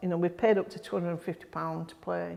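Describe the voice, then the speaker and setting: This is a woman speaking in a Yorkshire accent. Her pitch sits fairly low for a woman. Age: 60s. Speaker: grassroots football club volunteer. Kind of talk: interview. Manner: halting.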